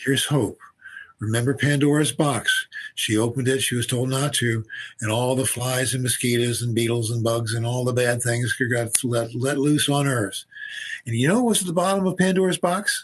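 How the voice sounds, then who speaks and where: Against a quiet background, a man with a medium pitch and ordinary pitch variation sounds somewhat breathy at a moderate pace. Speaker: physician and researcher. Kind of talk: interview conversation. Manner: halting, repetitive.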